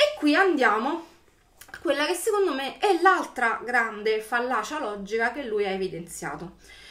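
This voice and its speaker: At a moderate pace, a woman speaks in a high pitch with very wide pitch swings. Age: 40s. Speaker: YouTuber; political commentator vlogger. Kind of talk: video commentary monologue. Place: home room. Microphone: webcam.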